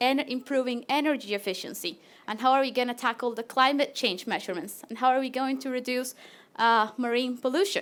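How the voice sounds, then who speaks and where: A woman with a Latin American accent talks at a fairly quick pace in a high pitch with ordinary pitch variation. The recording is very clean, with a silent background. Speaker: PhD researcher. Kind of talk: presentation.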